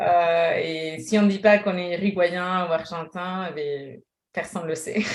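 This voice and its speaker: Here a woman speaks in a fairly low voice. She goes at a fairly slow pace with fairly even intonation. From Uruguay, then Spain from age 11. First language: Spanish (speaking French). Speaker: French teacher, exam prep. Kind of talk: interview. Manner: halting, many fillers.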